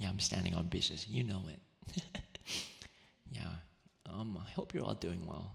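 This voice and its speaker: Speaking in a gentle tone at a moderate pace, a man with a very deep, low pitch and vocal fry leaves long, frequent pauses, his pitch varying in an ordinary way. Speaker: VTuber and ASMR streamer. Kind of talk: ASMR livestream talking with chat. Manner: soft-spoken, gentle, friendly.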